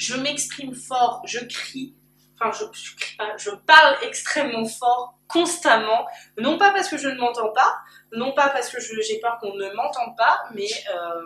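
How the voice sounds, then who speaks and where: In a high voice, a woman talks fairly slowly with lively intonation and big swings in loudness. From Paris region. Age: 20s. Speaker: YouTuber. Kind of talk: personal vlog. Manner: very loud. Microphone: camcorder built-in mic.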